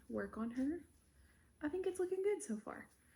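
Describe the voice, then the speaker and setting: Lively intonation marks this woman's somewhat breathy speech. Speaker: crochet vlogger. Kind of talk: casual vlog chat. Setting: at home. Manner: casual, filler-heavy.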